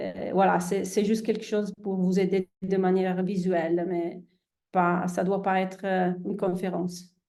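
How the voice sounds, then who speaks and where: A woman with an Italian accent speaks at a fairly slow pace in a medium pitch. Her tone is dark and mellow, and her intonation stays monotone and flat. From Italy. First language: Italian (speaking French). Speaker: endocrinologist. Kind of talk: presentation to online audience. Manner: hesitant, many fillers.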